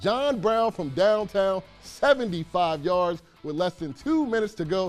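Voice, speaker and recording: With music in the background, a man with a high voice speaks fairly slowly in an upbeat tone and lively intonation. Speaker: sports anchor and reporter. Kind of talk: sports broadcast anchoring. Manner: casual, upbeat banter.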